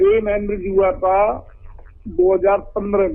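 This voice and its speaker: The man's high voice moves with ordinary pitch variation. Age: 60s. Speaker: caller, lawyer. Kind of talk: phone-in question. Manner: halting.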